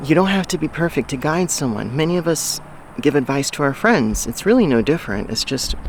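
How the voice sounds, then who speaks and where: This man, with a fairly high pitch, speaks at a fairly quick pace and lively intonation while noticeable background noise is present. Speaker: life coach and vlogger. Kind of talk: casual vlog monologue. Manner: halting, many fillers and restarts.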